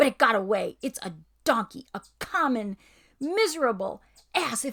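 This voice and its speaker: Shouting in a put-on character voice, a woman sounds high and shrill at a moderate pace. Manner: screaming, shrill with rage.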